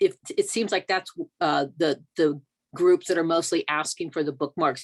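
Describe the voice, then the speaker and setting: The sound is dry and close with no echo, and the speech moves at a fairly quick pace with fairly even intonation. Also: woman. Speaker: volunteer outreach committee member. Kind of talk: meeting discussion. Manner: loud.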